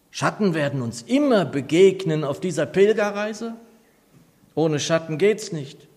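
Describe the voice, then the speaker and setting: A high-pitched male voice with lively intonation at a fairly slow pace. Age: 60s. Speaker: pastor. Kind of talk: sermon.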